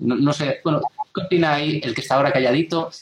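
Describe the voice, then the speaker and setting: A man's plain, everyday voice, fairly high in pitch with fairly even intonation. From Galicia, Spain (A Guarda). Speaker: software developer. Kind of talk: casual chat. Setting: video call.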